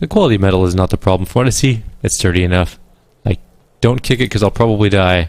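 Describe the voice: Here the speaker is doing plain reading aloud. The pitch variation is ordinary.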